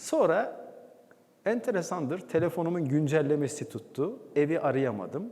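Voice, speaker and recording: A man talks at a fairly slow pace. His pitch swings very widely, and there is vocal fry in his voice. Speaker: former radio and TV announcer, presenter and documentary voice-over artist. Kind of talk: talk on stage telling a personal story to an audience.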